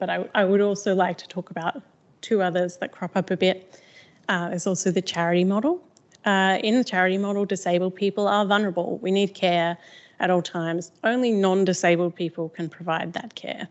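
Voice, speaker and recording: Fairly even in intonation, the speech goes at a fairly quick pace. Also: woman, medium pitch for a woman. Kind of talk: talk. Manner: fast.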